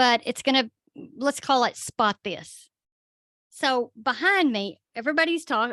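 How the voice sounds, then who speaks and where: A woman speaks loudly at a moderate pace with a Southern US accent and a bright, sharp tone. The very clean recording has a silent background and a dry, close sound with no echo. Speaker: paranormal podcast co-host. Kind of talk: casual chat.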